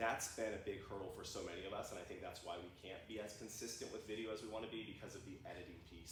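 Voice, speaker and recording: This voice speaks at a very fast pace with an American accent. There is audible room echo. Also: man. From US Midwest. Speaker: guest speaker on AI video tools. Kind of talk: workshop presentation. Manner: frequent ums, occasional stumbles; casual, energetic.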